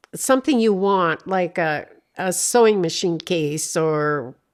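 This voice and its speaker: On a very clean recording with a silent background, a woman speaks very slowly with lively intonation. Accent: Upper Midwest. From North Dakota, USA. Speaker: retired banker. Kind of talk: interview answer.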